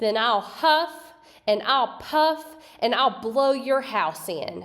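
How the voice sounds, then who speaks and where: Using a put-on character voice, a woman shouts and growls at a very slow pace, her pitch high. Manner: shouting, threatening.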